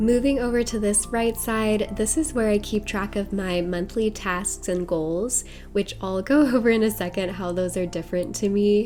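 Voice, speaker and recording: A woman speaks in a calm tone at a moderate pace, with hardly any pauses. Her pitch is medium with ordinary variation, and music plays in the background. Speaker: bullet journal creator. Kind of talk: voice-over tutorial narration. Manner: calm, cozy.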